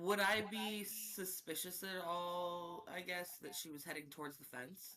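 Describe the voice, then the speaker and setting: The speaker goes at a fairly slow pace with hardly any pauses. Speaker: tabletop game player. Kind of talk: tabletop roleplaying game session. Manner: quieter than usual in character.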